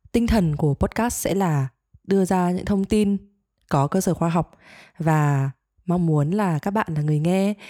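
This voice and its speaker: Recorded very cleanly against a silent background, the dry, close voice has no echo, a dark, mellow tone, ordinary pitch variation and a moderate pace. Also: woman. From Vietnam, Hanoi. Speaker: podcast co-host, teacher. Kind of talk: casual chat.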